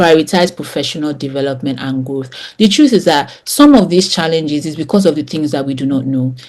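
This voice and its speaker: A woman talks at a fairly quick pace in a very deep, low voice with ordinary pitch variation. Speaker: communications trainer. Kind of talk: online course lecture. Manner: fast; animated.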